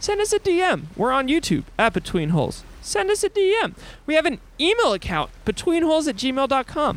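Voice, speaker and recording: A man's voice sits at an extremely high pitch, swinging very widely in pitch while the loudness stays very even. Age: 20s. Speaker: podcast host, sailor. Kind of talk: solo podcast monologue. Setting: aboard a sailboat at sea. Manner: casual.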